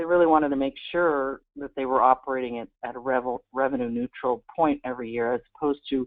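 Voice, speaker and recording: The delivery is fairly quick, with fairly even intonation. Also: woman. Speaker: workforce board consultant. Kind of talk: presentation. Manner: fast.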